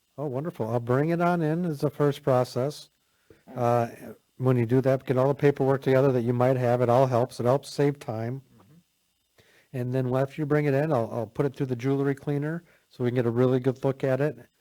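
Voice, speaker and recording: This man's voice has a medium pitch and a dark, mellow tone, and he talks at a fairly quick pace. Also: fairly even intonation. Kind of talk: radio talk show conversation.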